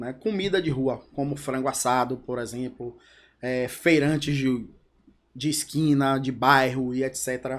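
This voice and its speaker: A man with a normal speaking voice talks at a fairly slow pace, medium in pitch with fairly even intonation. The recording is very clean, with a silent background. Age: 40s. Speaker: entrepreneur, company co-founder. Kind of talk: podcast interview. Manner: casual, conversational.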